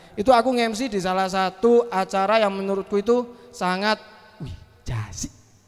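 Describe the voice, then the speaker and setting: Music plays behind a man with a high pitch and an animated tone. He speaks at a fairly quick pace with ordinary pitch variation. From East Java, Malang. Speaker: comedian and MC. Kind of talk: casual chat.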